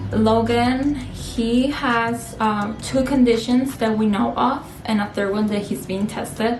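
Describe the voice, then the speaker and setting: A woman's fairly high voice with a Spanish accent, at a very slow pace with fairly even intonation, with audible room echo and music in the background. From Spain (Castellón), born in Peru. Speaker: family vlogger. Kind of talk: casual chat.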